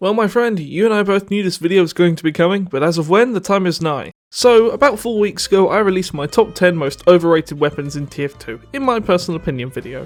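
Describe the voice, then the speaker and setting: A man with a British accent talks at a very fast pace, his high voice moving in a lively, up-and-down way. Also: hardly any pauses. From Britain. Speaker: gaming YouTuber. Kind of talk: video game commentary.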